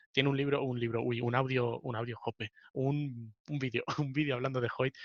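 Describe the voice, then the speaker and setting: A man with a Spanish accent speaks at a medium pitch in a monotone, flat intonation, the sound dry and close with no echo. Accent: Peninsular Spanish. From Spain. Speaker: podcast host. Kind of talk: casual chat.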